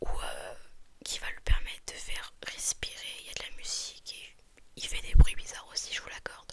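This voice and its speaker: Whispering at a fairly slow pace comes through over noticeable background noise. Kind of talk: ASMR roleplay as a shop assistant, whispered customer service. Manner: whispered, soft.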